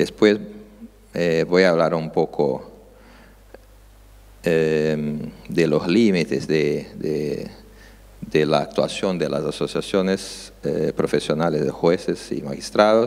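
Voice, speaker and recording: A man with a Brazilian accent, very deep and low in pitch, speaking at a very slow pace with long, frequent pauses and ordinary pitch variation. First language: Portuguese (speaking Spanish). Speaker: judge. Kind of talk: conference talk. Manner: halting, many filler sounds.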